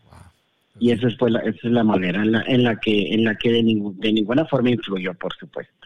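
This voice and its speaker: At a fairly quick pace, a man talks at medium pitch with fairly even intonation and big swings in loudness. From Monterrey, northern Mexico. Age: 40s. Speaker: guest sharing personal experience. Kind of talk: personal testimony. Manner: halting.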